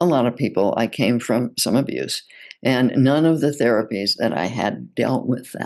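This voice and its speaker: Her voice very deep and low with vocal fry, a woman talks at a moderate pace with ordinary pitch variation. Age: 80s+. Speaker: psychotherapist and relationship author. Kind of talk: interview.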